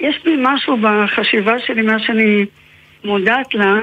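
The speaker is a woman with a fairly high pitch. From Israel, Haifa. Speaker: novelist and researcher. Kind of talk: interview.

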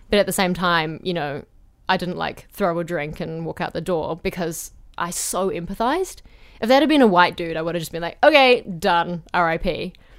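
In a very clean recording with a silent background, a woman speaks with a New Zealand accent. Her voice is fairly low-pitched, with ordinary pitch variation and a moderate pace. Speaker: playwright and theatre director. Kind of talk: casual chat. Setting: studio booth.

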